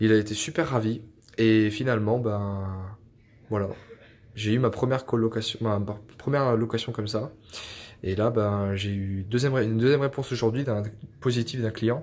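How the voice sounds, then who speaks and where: Pausing long and often, a man speaks at a moderate pace with fairly even intonation. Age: 20s. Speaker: IT engineer and property investor. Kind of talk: testimony. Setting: self-recorded video. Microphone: phone near.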